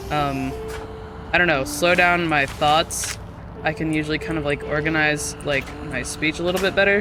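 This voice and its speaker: Over music in the background, the speech moves at a moderate pace with fairly even intonation. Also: woman. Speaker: video game streamer. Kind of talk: casual chat. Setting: live stream. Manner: occasional stutter, slurred lazy speech.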